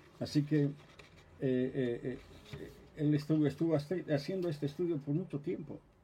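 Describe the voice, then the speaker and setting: A man talks at a moderate pace with fairly even intonation and a fairly high pitch. His tone is dark and mellow, and somewhat breathy. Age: 70s. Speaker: pastor. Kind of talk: sermon. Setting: office livestream.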